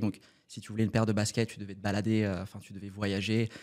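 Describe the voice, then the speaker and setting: A man talks at a very fast pace with a fairly low pitch. The recording is very clean, the background silent. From Paris suburbs, France. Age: 30s. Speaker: startup cofounder. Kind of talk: podcast interview. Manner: casual, many fillers.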